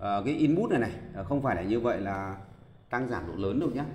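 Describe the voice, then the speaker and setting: Lively intonation with audible room echo. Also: man. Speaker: karaoke audio technician. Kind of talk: tutorial. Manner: hesitant, many filler sounds.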